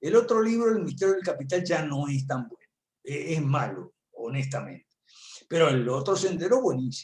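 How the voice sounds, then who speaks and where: At a moderate pace, a man with a fairly high pitch swings very widely in pitch and makes big jumps in loudness. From Argentina. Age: 70s. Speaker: political analyst and professor. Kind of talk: talk at an online conference. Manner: conversational with many fillers.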